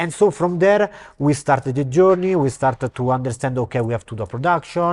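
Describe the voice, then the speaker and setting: A man speaks fairly quickly with an Italian accent, his fairly high voice full of lively intonation. The sound is dry and close with no echo, on a very clean recording with a silent background. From Italy, Rome. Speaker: actor and film director. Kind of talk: interview. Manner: halting.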